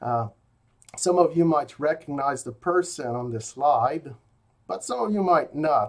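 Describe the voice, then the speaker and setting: A man with a slight French Canadian accent speaks at a fairly slow pace with ordinary pitch variation. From rural Quebec. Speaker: philosophy professor. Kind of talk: recorded lecture. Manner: hesitant, many fillers.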